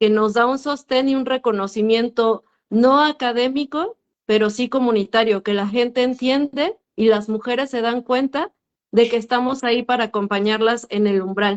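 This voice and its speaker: At a moderate pace, a woman speaks with a fairly high pitch. It is a plain, everyday voice. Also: fairly even intonation. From Mexico, urban area. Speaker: midwife. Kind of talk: panel discussion. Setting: video call.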